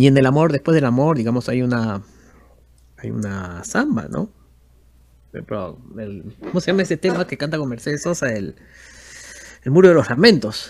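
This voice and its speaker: His pitch swings very widely. The man's loudness rises and falls in big swings, with long, frequent pauses. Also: medium pitch for a man, moderate pace. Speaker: musician. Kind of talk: interview.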